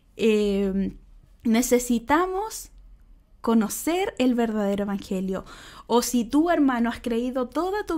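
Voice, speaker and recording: Speaking at a fairly slow pace, a woman uses a high pitch with very wide swings. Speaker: church speaker. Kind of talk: sermon.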